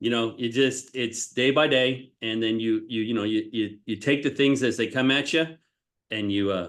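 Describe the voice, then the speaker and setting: Over a quiet background, a man with an ordinary speaking voice talks at a moderate pace and medium pitch, his intonation fairly even. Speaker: construction executive. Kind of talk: interview.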